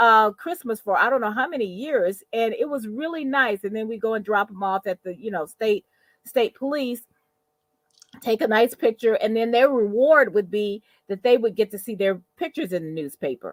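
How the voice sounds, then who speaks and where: A woman with a plain, everyday voice speaks at a moderate pace and a fairly high pitch. Her intonation is lively, and the sound is dry and close with no echo. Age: 60s. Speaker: podcast co-host, mother. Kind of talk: casual chat.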